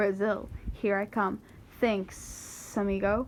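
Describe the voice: Hissing through a put-on character voice, a woman speaks at medium pitch and a fairly slow pace over clear background noise.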